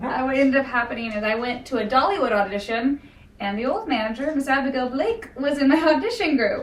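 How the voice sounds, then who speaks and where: A woman talks loudly at a very fast pace. Her pitch is high and her intonation lively. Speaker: princess character performer. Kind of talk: casual introduction.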